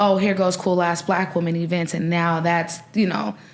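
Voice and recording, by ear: A woman with an American accent speaks at a fairly low pitch with little pitch movement. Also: moderate pace.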